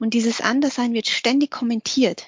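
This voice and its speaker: Her intonation stays fairly even. This woman speaks at a fairly high pitch. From Austria (Vorarlberg), Vietnamese refugee family. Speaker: lecturer on gender and diversity. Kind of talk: interview. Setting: video call.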